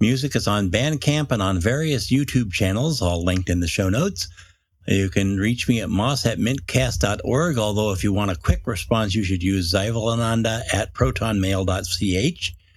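A man speaks at a moderate pace and fairly low pitch, with lively intonation. His voice is somewhat breathy, and the recording is very clean with a silent background. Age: old. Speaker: podcast co-host. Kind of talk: casual chat.

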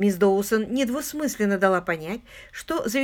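This is a reading-aloud clip. The speaker is reading aloud in a natural voice.

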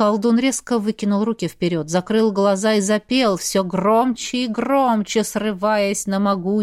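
The recording consists of plain reading aloud.

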